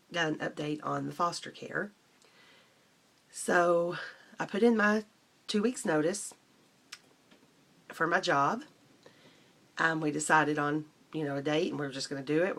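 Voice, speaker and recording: A woman's quiet, raspy put-on character voice, very deep and low in pitch, at a moderate pace. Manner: quiet, subdued vlog speech.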